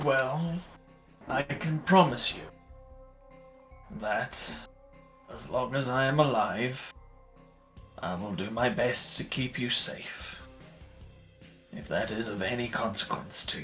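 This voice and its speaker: A put-on character voice speaks at a fairly slow pace, with clear music in the background. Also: man, medium pitch for a man. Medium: actual play. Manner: formal, polite.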